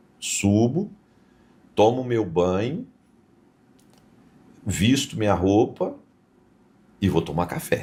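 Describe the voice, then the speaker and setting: A man's dark, mellow tone at a very slow pace, with ordinary pitch variation. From interior of São Paulo state, Brazil. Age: 70s. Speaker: businessman. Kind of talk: podcast interview.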